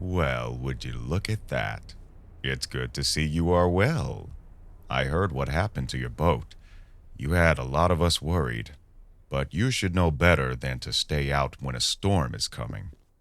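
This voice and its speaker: In a very clean recording with a silent background, a man puts on a character voice that is very deep and low. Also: moderate pace. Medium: audio drama. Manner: polite on the surface, menacing underneath.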